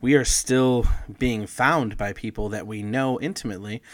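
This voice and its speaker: This man has an unremarkable speaking voice at medium pitch, captured on a very clean recording with a silent background. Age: 30s. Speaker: podcast co-host. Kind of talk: casual chat.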